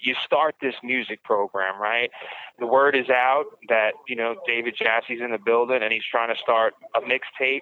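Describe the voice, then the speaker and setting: A man with a New York accent, over noticeable background noise. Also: medium pitch for a man, fairly even intonation, moderate pace. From Brooklyn, New York. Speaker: podcast host, writer and prisoner. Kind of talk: interview. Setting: prison phone call.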